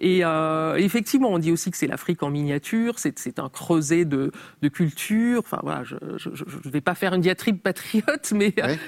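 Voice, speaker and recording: Her voice fairly low with lively intonation, a woman speaks at a moderate pace in a dry, close sound with no echo. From Cameroon (Yaoundé area), with French mother. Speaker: journalist and writer. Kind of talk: interview. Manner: hesitant, many fillers.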